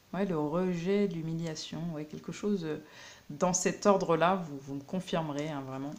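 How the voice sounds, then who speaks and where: A woman's voice with big swings in loudness, audible room echo, a fairly slow pace and fairly even intonation. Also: fairly low pitch for a woman. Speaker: tarot card reader. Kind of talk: tarot reading. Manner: hesitant, many fillers.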